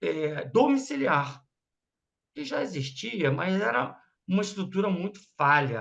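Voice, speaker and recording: Lively intonation runs through the man's fairly slow speech. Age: 60s. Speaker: radiology business owner, speaker to students. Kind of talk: informal talk to students.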